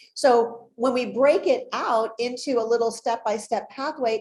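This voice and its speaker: A woman speaks at a fairly high pitch with ordinary pitch variation. She has an unremarkable speaking voice and keeps a moderate pace. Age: 60s. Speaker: holistic pet health expert. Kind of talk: interview presentation.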